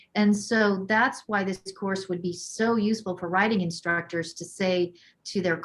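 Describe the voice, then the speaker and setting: A woman's ordinary speaking voice at a medium pitch, with fairly even intonation and a moderate pace. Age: 50s. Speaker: equine-assisted learning teacher and course author. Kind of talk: webinar Q&A answer.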